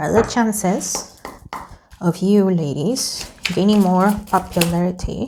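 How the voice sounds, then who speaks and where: A woman with a non-native accent speaks at a very slow pace and a medium pitch. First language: not English. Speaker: tarot reader YouTuber. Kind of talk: casual tarot reading monologue. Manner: casual, hesitant with self-corrections.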